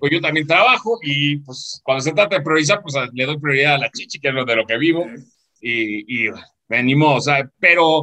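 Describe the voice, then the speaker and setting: Bright and sharp in tone, a man's voice sits fairly high for a man. He speaks at a moderate pace with ordinary pitch variation. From Mexico, southeast. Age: 40s. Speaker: business mentor. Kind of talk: casual interview.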